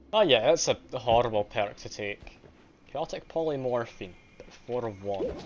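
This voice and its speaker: Noticeable background noise sits behind a man with a slight Scottish accent and a medium pitch. He talks at a moderate pace with lively intonation and big swings in loudness. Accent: mild Scottish. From Scotland. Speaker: game streamer. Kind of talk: live gameplay commentary. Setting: live stream. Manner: casual.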